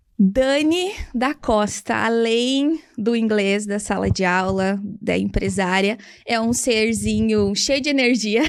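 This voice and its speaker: An ordinary speaking voice is heard on a very clean recording with a silent background. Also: woman. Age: 30s. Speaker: English teacher and entrepreneur. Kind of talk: interview.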